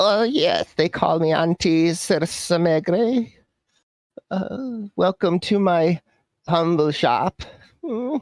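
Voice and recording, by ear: A man puts on a character voice, pitched high for a man, with lively intonation. He speaks at a slow pace, and the sound is dry and close with no echo.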